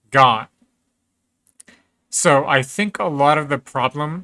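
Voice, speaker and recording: A bright, sharp tone moves at a very slow pace with ordinary pitch variation. The recording is very clean with a silent background and a dry, close sound with no echo. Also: man. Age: 30s. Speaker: video game streamer. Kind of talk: casual chat. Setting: live stream.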